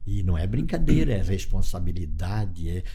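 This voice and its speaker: With noticeable background noise and audible room echo, a man with a very deep, low pitch talks at a moderate pace and ordinary pitch variation. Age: 70s. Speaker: cooperative leader. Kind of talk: interview. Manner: halting.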